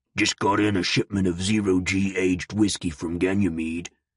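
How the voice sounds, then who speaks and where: Using a put-on character voice, a man growls raspy and very deep, low-pitched at a moderate pace in a monotone, flat intonation, the sound dry and close with no echo over a quiet background. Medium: read story. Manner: blunt, terse.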